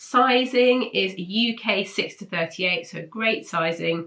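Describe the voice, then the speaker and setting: A woman with a British accent, a bright, sharp tone and ordinary pitch variation. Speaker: sewing pattern reviewer. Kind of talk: casual product roundup. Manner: casual, hesitant with fillers.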